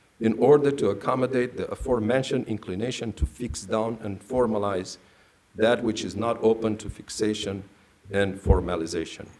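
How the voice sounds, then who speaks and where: Pitched in the medium range, a man's voice keeps a moderate pace. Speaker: priest and theology scholar. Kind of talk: lecture. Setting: stage with audience. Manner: formal.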